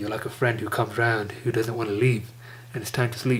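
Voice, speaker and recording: A man's flat, monotone voice, somewhat breathy. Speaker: stuttering vlogger. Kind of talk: casual talk to camera.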